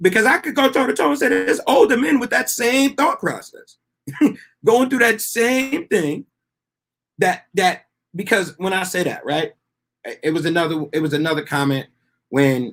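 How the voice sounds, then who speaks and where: Pausing long and often, a man with a high pitch speaks at a moderate pace with very wide pitch swings. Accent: American. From Texas. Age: 30s. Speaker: guest joining live call. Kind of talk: debate discussion.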